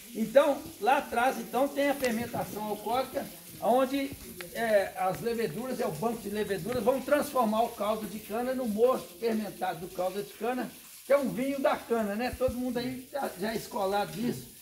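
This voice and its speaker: Noticeable background noise sits behind a man with extremely high pitch. He speaks at a moderate pace with ordinary pitch variation. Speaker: cachaça distillery owner, tour guide. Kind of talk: guided tour. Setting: on-site tour of distillery.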